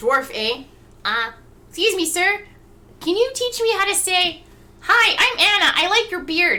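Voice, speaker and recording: In a put-on, squeaky character voice pitched extremely high, a woman talks at a moderate pace with long, frequent pauses. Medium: actual play.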